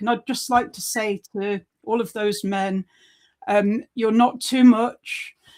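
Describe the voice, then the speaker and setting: A plain, everyday voice from a woman, fairly high in pitch, with fairly even intonation at a moderate pace. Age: 40s. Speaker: podcast co-host. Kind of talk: casual chat. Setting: live stream.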